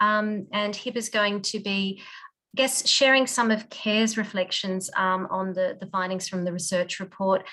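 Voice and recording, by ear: Her fairly bright tone sits at medium pitch, with little pitch movement, as this woman speaks at a moderate pace.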